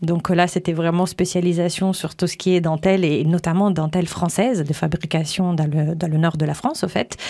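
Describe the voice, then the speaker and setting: With an Italian accent, a woman speaks at a moderate pace and a fairly low pitch. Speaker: image coach and radio host. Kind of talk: interview.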